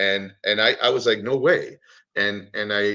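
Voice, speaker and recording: A quiet background behind a man speaking with an American accent. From New York. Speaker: cartoonist. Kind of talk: casual chat.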